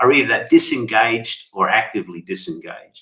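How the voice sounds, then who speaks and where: Bright and sharp in tone, a man speaks at a moderate pace with very wide pitch swings. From Australia, Sydney. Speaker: company CEO and author. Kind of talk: interview conversation.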